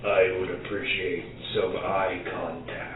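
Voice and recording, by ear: Over loud background noise, a man puts on a gravelly character voice at a fairly slow pace, with a slight echo.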